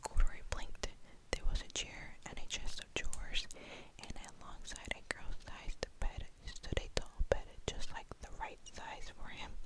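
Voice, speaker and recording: Whispering over noticeable background noise. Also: moderate pace. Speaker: ASMR creator. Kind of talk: reading aloud.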